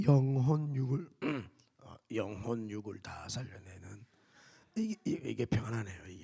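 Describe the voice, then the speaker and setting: In a booming, strained put-on character voice of medium pitch, a man speaks at a fairly slow pace with big swings in loudness and long, frequent pauses. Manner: booming, preacherly.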